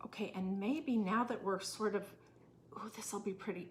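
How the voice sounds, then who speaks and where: This soft-spoken woman has a medium pitch and ordinary pitch variation. She talks at a moderate pace. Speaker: craft tutorial host. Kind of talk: tutorial. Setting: temporary room away from home, neighbors nearby.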